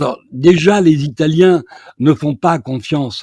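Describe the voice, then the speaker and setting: A man's dark, mellow tone at a fairly slow pace, with lively intonation. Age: 70s. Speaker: journalist interviewer. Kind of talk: political discussion.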